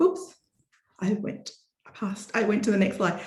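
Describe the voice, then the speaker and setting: Speaking in an Australian accent, a woman has a fairly high pitch. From Australia, Melbourne. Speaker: botanist, scientist. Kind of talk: lecture.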